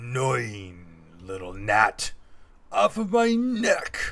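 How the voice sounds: A man puts on a growling character voice. He speaks at a very slow pace.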